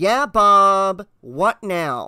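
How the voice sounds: Put-on character voice from a man, high-pitched, with lively intonation and a bright, sharp, clear, smooth tone. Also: dry, close sound with no echo.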